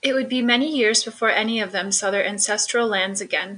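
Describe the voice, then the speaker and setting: In an ordinary speaking voice, a woman talks at a fairly quick pace and fairly high pitch with fairly even intonation. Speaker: announcer. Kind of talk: scripted narration.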